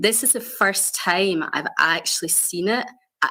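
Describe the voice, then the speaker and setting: A woman's bright, sharp voice with a Scottish accent, medium pitch, lively intonation and a moderate pace. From Scotland. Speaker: health innovation director. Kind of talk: conference panel presentation. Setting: video call into conference stage.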